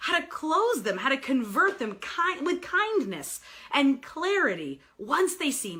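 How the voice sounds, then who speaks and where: A woman uses a raised, projected voice at a high pitch. She speaks at a very slow pace with very wide pitch swings. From New York. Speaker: sales coach and author. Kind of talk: live video broadcast. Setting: live stream. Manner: animated.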